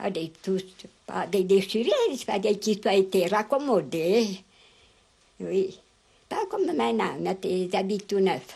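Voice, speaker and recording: A woman speaks very slowly at a medium pitch, her intonation lively and her speech broken by long, frequent pauses. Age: 80s+. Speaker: elderly rural interviewee. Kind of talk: interview. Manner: halting.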